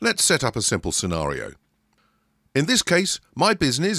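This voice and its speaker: A man with a British accent speaks in a bright, sharp tone, recorded dry and close with no echo, very clean against a silent background. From Britain. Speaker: software tutorial presenter. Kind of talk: tutorial.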